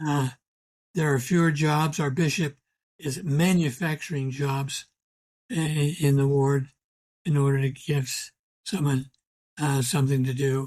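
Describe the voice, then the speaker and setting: On a very clean recording with a silent background, a man with a fairly high, somewhat breathy voice speaks at a fairly slow pace with very even loudness and long, frequent pauses. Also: fairly even intonation. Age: 80s+. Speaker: historian, emeritus history professor. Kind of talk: podcast interview answer. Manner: soft-spoken; quiet, reasoned.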